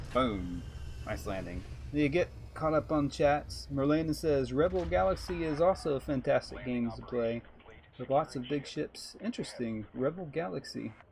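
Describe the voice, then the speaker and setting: A man in a Texan accent talks at a moderate pace with a medium pitch. His voice is somewhat breathy, and his intonation is lively. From Texas. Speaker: video game streamer. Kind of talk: live stream gameplay commentary. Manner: casual, conversational.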